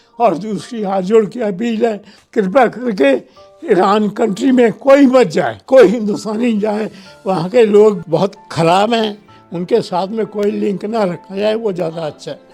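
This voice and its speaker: Backed by music, a man's high-pitched voice moves with ordinary pitch variation. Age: 80s+. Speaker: retired army officer, war veteran. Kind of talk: emotional public appeal, interview answer.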